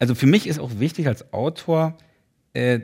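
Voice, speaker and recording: A man speaks in a plain, everyday voice with lively intonation at a moderate pace. The recording is very clean, with a silent background. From East Berlin (Köpenick). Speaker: author. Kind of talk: casual interview chat.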